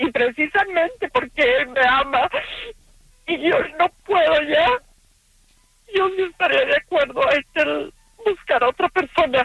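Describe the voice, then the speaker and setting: Speaking at a fairly slow pace, a woman is heard. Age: 50s. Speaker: caller. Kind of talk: testimony.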